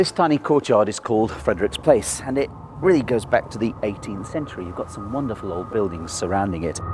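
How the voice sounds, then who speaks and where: Very wide pitch swings and big swings in loudness mark this very fast delivery, heard against noticeable background noise. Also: man, fairly low pitch for a man. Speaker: tour guide; historian and author. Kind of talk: walking ghost tour guide talk. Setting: outdoors.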